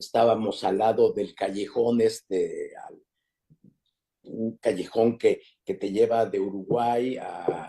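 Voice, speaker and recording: A man at a very slow pace, with big swings in loudness. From Mexico City. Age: 80s+. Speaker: interviewee recounting family immigrant history. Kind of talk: interview conversation. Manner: halting, with frequent fillers and repetitions.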